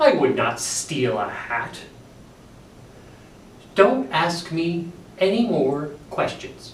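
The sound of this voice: Using a put-on character voice, a man speaks very slowly at a fairly high pitch with big pitch swings and strong room echo.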